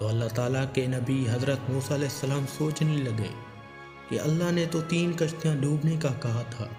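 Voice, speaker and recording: Music plays in the background while a man talks. His pitch is fairly high, with ordinary pitch variation. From Pakistan. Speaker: voice-over artist. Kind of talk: religious story narration.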